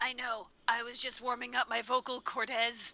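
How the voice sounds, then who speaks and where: In a put-on character voice, the speaker sounds raspy at a fairly high pitch and a moderate pace. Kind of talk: comic overacting. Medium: read story. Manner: loud, angry.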